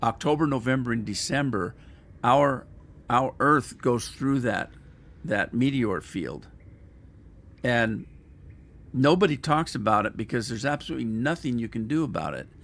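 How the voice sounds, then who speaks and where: A man's medium-pitched voice with vocal fry, at a moderate pace, broken by long, frequent pauses. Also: ordinary pitch variation. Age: 70s. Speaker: gamer streamer. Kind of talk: casual live stream commentary.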